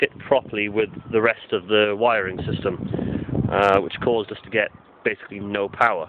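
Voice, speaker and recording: Dry sound with no echo, moderate pace and noticeable background noise. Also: man. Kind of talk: casual tutorial walkthrough. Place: open country. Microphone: phone near.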